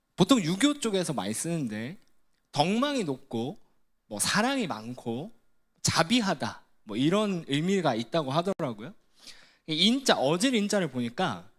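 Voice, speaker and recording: A man with a Gyeongsang accent speaks fairly slowly in a high pitch with very wide pitch swings, on a very clean recording with a silent background. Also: long, frequent pauses. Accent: Gyeongsang Korean. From Gyeongsang region, South Korea. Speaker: ministry staff preacher. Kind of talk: sermon. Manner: conversational, engaging the audience with questions.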